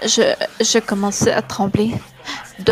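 A woman of medium pitch at a fairly slow pace, with fairly even intonation and noticeable background noise. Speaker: podcast host reading horror story. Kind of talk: ghost story telling, scripted creepypasta narration read aloud. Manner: hushed, suspenseful, dramatic pacing with pauses.

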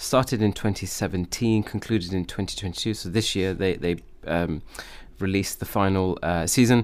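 With a normal speaking voice, fairly low pitch and fairly even intonation, a man talks at a fairly quick pace on a very clean recording with a silent background. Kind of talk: casual chat.

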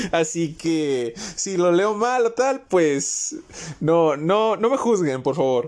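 A man speaks very slowly in a high voice, his pitch swinging very widely. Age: young. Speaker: podcaster, student. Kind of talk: casual monologue. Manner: informal, with frequent hesitations and laughter; voice occasionally cracks.

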